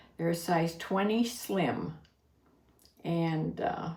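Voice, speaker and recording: Over noticeable background noise, the speaker goes at a very slow pace in an American accent with ordinary pitch variation. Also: woman. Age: 80s. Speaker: online reseller and YouTube vlogger. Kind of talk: casual talk to camera.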